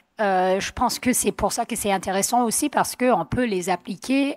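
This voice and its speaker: A woman's medium-pitched voice at a moderate pace with ordinary pitch variation, dry and close with no echo, on a very clean recording with a silent background. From US, Vermont. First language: English (speaking French). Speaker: mountain athlete. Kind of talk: panel discussion. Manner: hesitant, many fillers.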